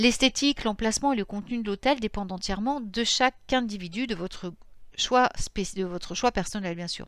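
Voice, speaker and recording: On a very clean recording with a silent background, a woman with a fairly high voice speaks at a moderate pace with ordinary pitch variation. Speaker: pagan spirituality youtuber. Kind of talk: informal lecture. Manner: halting, self-correcting.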